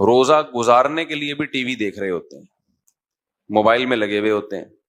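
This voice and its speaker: A man talks in a plain, everyday voice at a medium pitch with ordinary pitch variation. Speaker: Islamic scholar and preacher. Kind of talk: Islamic sermon (bayan) to an audience. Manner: fluent, engaging, preaching delivery.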